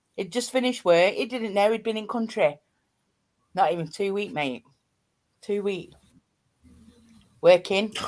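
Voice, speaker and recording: Here a woman talks in a strong East Midlands accent at a moderate pace with long, frequent pauses. Her pitch is medium, with ordinary variation. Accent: thick East Midlands. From East Midlands, Nottinghamshire. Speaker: live streamer. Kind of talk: casual chat. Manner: animated.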